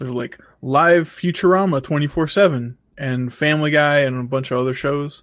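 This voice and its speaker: This man has an ordinary speaking voice, fairly high in pitch, moving at a moderate pace on a very clean recording with a silent background. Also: ordinary pitch variation. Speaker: podcast co-host. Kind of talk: casual banter podcast.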